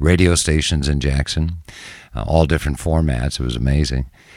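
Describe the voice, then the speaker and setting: A man with an American accent speaks in a very deep, low voice with ordinary pitch variation. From Minnesota, Minneapolis. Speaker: TV news anchor. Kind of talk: casual interview.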